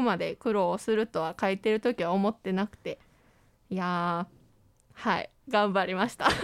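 A woman at a medium pitch and moderate pace, on a very clean recording with a silent background and a dry, close sound with no echo. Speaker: university broadcasting student, scriptwriter. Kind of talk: casual chat. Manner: animated.

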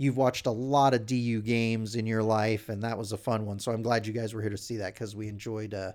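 A man talks at a very fast pace. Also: very clean recording, silent background. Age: 40s. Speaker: hockey fan site founder and podcast co-host. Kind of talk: casual chat. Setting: studio.

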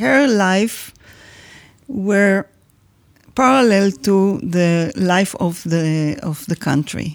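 A woman with an Israeli accent at medium pitch, speaking at a very slow pace with long, frequent pauses. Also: lively intonation. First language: Hebrew. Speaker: daughter of a songwriter. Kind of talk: interview.

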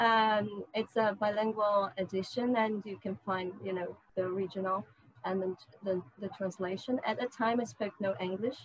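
A woman speaks at a moderate pace with fairly even intonation. Her voice is medium in pitch and somewhat breathy. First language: Portuguese. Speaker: literature researcher and translator. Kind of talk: interview. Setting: video call. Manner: halting.

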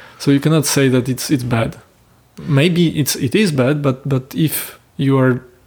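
A man with a Polish accent and fairly even intonation. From Poland. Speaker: film director and producer. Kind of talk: interview. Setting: host's home. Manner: halting.

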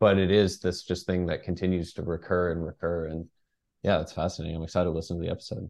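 Against a quiet background, a man with an American accent talks at a very fast pace in a very deep, low voice with monotone, flat intonation. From Texas (Dallas). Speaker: journalist and author. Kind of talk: interview.

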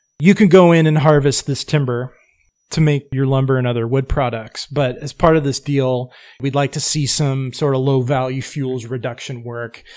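Here a man has an ordinary speaking voice at medium pitch, at a moderate pace with fairly even intonation. The recording is very clean, with a silent background. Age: 40s. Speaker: forestry nonprofit director. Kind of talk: casual interview.

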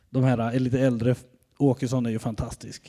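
A man's dark, mellow voice on a very clean recording with a silent background. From Sweden, Västergötland (Mariestad area). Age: 40s. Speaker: pastor. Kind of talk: sermon.

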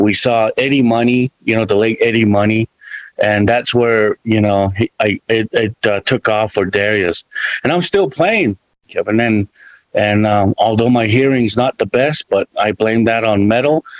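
A man with a plain, everyday voice speaks at a moderate pace and medium pitch, with fairly even intonation, very even loudness and a dry, close sound with no echo. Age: 50s. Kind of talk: casual chat.

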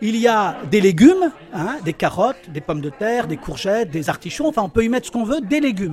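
The man's voice is high in pitch and swings very widely up and down as he talks at a fairly quick pace. Noticeable background noise runs underneath. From Algeria (Tlemcen). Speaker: interviewee on food. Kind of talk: interview.

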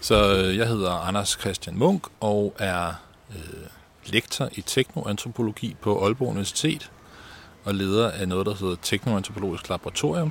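With ordinary pitch variation, the man's words come out at a fairly slow pace. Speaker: university lecturer and researcher. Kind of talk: interview. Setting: outdoors in a garden.

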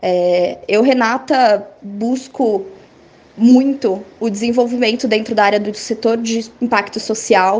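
Fairly high in pitch, a woman talks at a very slow pace with fairly even intonation. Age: 20s. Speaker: NGO executive director. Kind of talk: interview.

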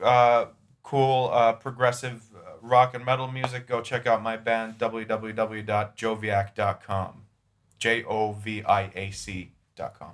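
Speaking slowly at a medium pitch, a man with an unremarkable speaking voice keeps fairly even intonation while his loudness swings widely. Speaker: podcast guest. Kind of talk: casual chat.

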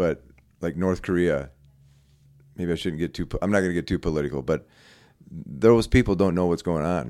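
A man's very deep, low voice with vocal fry and a dark, mellow tone, fairly quick in pace yet with long, frequent pauses, on a very clean recording with a silent background. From US Midwest, Iowa. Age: 60s. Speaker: musician. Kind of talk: casual chat.

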